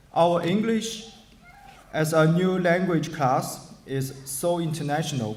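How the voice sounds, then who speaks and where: Speaking at a fairly slow pace in a Chinese accent, the voice carries audible room echo and noticeable background noise. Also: man. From China, Shanghai. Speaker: adult education graduate. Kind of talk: graduation speech. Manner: formal.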